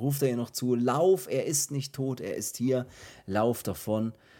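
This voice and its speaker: A man with a normal speaking voice talks fairly slowly at a medium pitch, with ordinary pitch variation. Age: 30s. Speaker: horror film podcast host. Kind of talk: casual chat.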